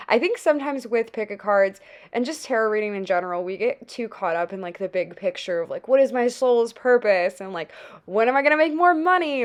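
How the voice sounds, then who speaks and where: A woman's high-pitched voice at a fairly quick pace, with very wide pitch swings. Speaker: tarot reader. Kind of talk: pick-a-card tarot reading. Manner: soft-spoken, calm.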